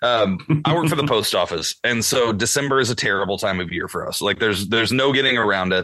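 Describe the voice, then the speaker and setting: Over noticeable background noise, a medium-pitched man talks at a very fast pace with lively intonation and hardly any pauses. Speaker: podcast co-host. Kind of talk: casual chat.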